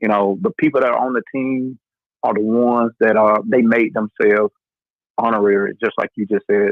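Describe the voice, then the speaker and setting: A man's medium-pitched voice runs at a fairly quick pace. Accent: Southern US. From North Carolina. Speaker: podcast host. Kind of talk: casual chat. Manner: animated.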